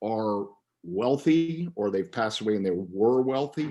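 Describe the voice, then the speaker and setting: A man with an American accent, fairly slow in pace, his pitch swinging very widely. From US South. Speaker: author. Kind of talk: interview.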